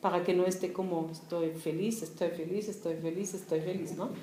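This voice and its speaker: A woman with a German accent speaks at a moderate pace. Room echo is audible, along with noticeable background noise. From East Germany, Berlin. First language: German (speaking Spanish). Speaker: writer. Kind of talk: casual talk.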